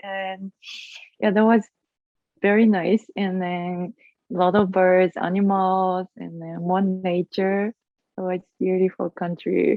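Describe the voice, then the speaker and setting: A woman at medium pitch speaks at a very slow pace in a monotone, flat delivery, with long, frequent pauses and big swings in loudness. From Japan, Osaka (Kansai). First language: Japanese. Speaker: acroyoga teacher. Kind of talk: interview. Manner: halting.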